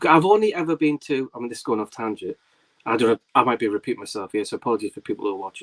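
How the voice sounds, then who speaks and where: A man's medium-pitched voice in a Geordie accent, dry and close with no echo. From northern England, Tyneside (Whitley Bay/North Shields). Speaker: film YouTuber and livestream host. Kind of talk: casual chat. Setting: livestream. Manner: fast.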